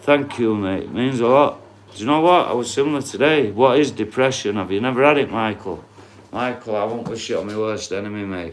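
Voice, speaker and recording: A man with a strong northern English accent, at a fairly quick pace, with ordinary pitch variation, big swings in loudness and audible room echo. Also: medium pitch for a man. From northern England, Doncaster. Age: 40s. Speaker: livestreamer. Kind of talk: casual chat. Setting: live stream reading viewer comments.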